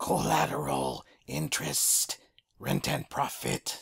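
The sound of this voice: Putting on a character voice, a man speaks raspy and very deep at a fairly slow pace.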